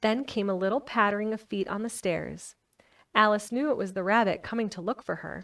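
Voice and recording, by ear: A quiet background behind a natural voice reading aloud, the intonation fairly even.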